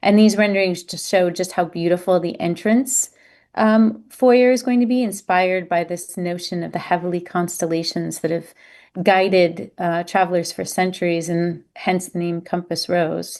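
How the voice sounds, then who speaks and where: Over a quiet background, a woman speaks in a fairly low pitch with ordinary pitch variation. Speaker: cruise line representative. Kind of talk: virtual presentation. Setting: online virtual event. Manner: fast.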